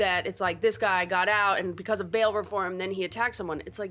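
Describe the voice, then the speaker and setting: A woman's medium-pitched voice with fairly even intonation, music in the background. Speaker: podcast host. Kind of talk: casual interview conversation.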